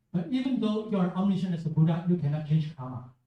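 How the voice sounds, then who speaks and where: A man's dark, mellow voice in a Chinese accent, at a very fast pace with ordinary pitch variation. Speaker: Buddhist teacher. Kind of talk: Q&A with school students. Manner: halting.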